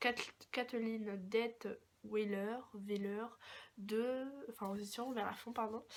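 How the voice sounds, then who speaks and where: Her pitch fairly high, a woman talks at a very slow pace with monotone, flat intonation. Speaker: book vlogger. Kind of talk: casual chat. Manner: hesitant, many fillers.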